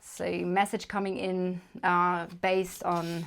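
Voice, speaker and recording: A woman with a German accent, medium pitch and monotone, flat intonation on a very clean recording with a silent background. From Germany. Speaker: tarot reader. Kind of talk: tarot reading to camera. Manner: casual, hesitant with fillers.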